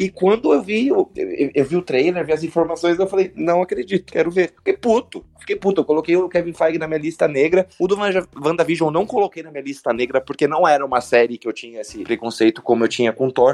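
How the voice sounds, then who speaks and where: A man with a high pitch races at a very fast pace with hardly any pauses and lively intonation, in dry, close sound with no echo. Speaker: pop culture podcast co-host. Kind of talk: casual chat.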